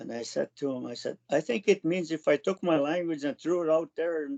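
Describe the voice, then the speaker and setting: With a Canadian accent, a man speaks at a fairly high pitch with ordinary pitch variation. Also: dry, close sound with no echo. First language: Cree. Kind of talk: personal storytelling. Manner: halting.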